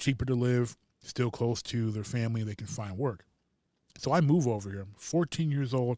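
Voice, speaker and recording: Speaking fairly quickly, a man with an American accent has a dark, mellow tone and ordinary pitch variation. The recording is very clean, with a silent background. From Detroit, US Midwest. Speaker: podcast co-host. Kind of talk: casual chat. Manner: animated.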